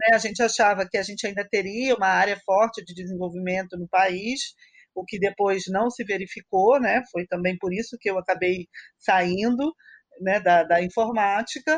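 A woman at a medium pitch, an ordinary speaking voice, with ordinary pitch variation, big swings in loudness and a moderate pace, in a dry, close sound with no echo. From Niterói, Brazil. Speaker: mathematics professor. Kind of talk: casual chat.

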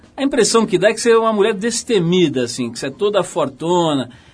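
The intonation of this man is lively. He talks fairly quickly. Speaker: radio host. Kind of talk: interview. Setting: radio studio.

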